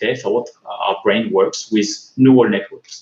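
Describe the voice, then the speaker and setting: A man's voice comes through audible room echo with noticeable background noise behind it. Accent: French. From France. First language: French. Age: 40s. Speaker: tech conference speaker. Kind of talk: conference talk. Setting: online video call. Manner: halting, many fillers.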